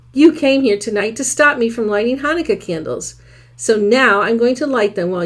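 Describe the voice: Text read aloud, plainly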